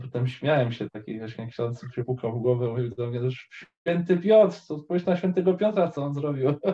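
A somewhat breathy man at a medium pitch. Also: lively intonation, moderate pace. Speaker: caller. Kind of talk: casual faith conversation. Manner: halting.

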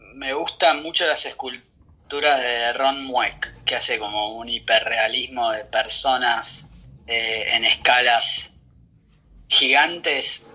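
Noticeable background noise surrounds a man at a medium pitch. He speaks at a very slow pace. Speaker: advertising agency executive. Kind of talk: interview.

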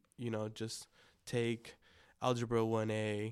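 In a very clean recording with a silent background, a man speaks at medium pitch in a flat monotone. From Los Angeles, San Gabriel Valley (El Monte). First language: Spanish. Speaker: youth minister and cold brew coffee business owner. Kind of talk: casual interview.

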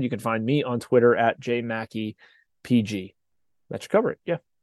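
In a dry, close sound with no echo and a quiet background, a man with an ordinary speaking voice and medium pitch talks at a fairly quick pace. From Pittsburgh, western Pennsylvania. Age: 40s. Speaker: sports journalist. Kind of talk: casual interview.

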